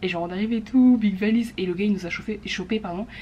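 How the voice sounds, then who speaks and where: A woman talks very fast while noticeable background noise carries on behind her. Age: 20s. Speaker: vlogger. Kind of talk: casual vlog chat. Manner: animated.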